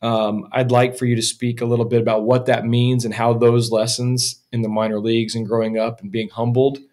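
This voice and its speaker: Against a quiet background, a man at medium pitch speaks fairly quickly in a flat monotone, with hardly any pauses and big swings in loudness. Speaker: podcast host. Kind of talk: casual interview. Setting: in-person in a small echoey room. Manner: casual. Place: studio. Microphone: studio mic.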